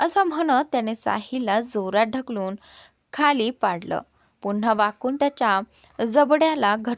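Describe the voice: It's plain reading aloud over a quiet background.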